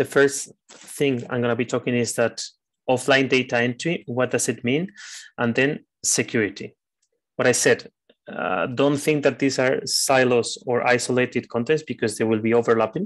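A man at medium pitch and moderate pace, a normal speaking voice with ordinary pitch variation over a quiet background. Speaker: trainer. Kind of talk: training lecture. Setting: online video session.

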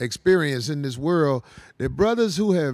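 With very wide pitch swings, a man speaks at a moderate pace against a quiet background. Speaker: show host. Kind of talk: podcast discussion commentary. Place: studio. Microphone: handheld.

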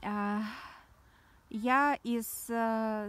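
Dry with no echo, a woman's fairly high voice moves with ordinary pitch variation. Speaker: spiritual blogger. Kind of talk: casual monologue vlog. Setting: outdoors. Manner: animated, rambling. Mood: reflective, spiritual. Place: open country. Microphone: phone near.

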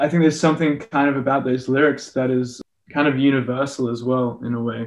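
This voice carries an Australian accent. It moves at a very fast pace with fairly even intonation. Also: man, medium pitch for a man. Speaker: musician. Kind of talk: interview answer. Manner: casual, rambling. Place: home room. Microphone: video call.

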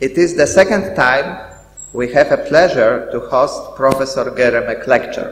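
There is audible room echo. A man speaks with a Polish accent. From Poland. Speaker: school director; event host. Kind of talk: welcoming speech. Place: hall. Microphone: podium.

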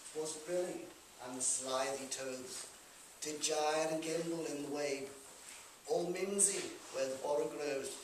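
A man speaks at a fairly slow pace with fairly even intonation, amid audible room echo and noticeable background noise. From Liverpool. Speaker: performer. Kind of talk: poetry reading. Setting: live venue. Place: hall. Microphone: camera far.

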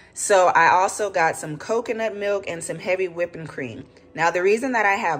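A woman speaks in an ordinary speaking voice with ordinary pitch variation. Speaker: home cook vlogger. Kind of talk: cooking tutorial. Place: kitchen. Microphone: phone near.

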